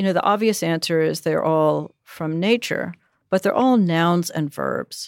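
A woman with an unremarkable speaking voice talks at a fairly low pitch and a fairly slow pace, with ordinary pitch variation. The recording is very clean, with a silent background. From US, suburbs. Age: 60s. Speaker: poet and teacher. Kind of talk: interview conversation.

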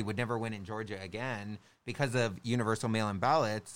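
On a very clean recording with a silent background, a man with an unremarkable speaking voice talks at a fairly quick pace and medium pitch. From Southern California, Orange County. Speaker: election worker. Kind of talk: casual chat. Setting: studio.

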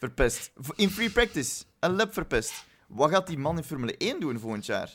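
With a Flemish accent, a man speaks at a moderate pace in a high pitch, making very wide pitch swings. The recording is very clean, the background silent. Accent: Flemish Dutch. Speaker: Formula 1 podcast co-host. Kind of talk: casual chat.

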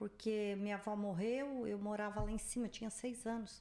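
A woman at a fairly slow pace and a medium pitch. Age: 60s. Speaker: host's mother. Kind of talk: casual chat. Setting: livestream studio.

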